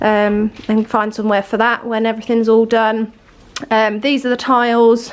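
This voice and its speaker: In an English accent, a woman speaks with fairly high pitch and monotone, flat intonation. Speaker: home renovation vlogger. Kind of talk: casual vlog update. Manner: hesitant with many fillers.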